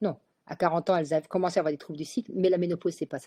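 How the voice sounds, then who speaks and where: Recorded with a dry, close sound and no echo, a woman speaks at a medium pitch in a dark, mellow tone. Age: 60s. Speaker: gynecologist. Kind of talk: webinar talk. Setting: online webinar.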